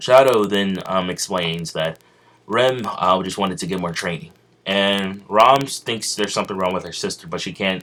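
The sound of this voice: The pitch moves in an ordinary way through an unforced reading voice.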